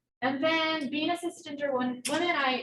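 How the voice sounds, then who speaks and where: A woman speaks at a fairly quick pace with a slight southern Ohio accent. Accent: slight southern Ohio twang. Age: 20s. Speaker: researcher. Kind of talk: lecture. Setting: hybrid presentation with microphone. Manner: fast, words run together; casual, filler-heavy.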